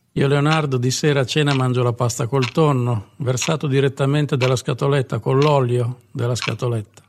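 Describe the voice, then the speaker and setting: A man speaks at a moderate pace and medium pitch, hardly pausing, with very even loudness. His intonation is fairly even, his voice somewhat breathy. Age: 50s. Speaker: comedian. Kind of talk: comic monologue.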